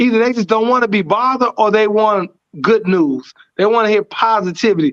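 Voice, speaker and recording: Energetic in tone, a man talks at a fairly quick pace with a high pitch and ordinary pitch variation. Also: very even loudness. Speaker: whiskey distillery founder. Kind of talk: interview. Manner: loud.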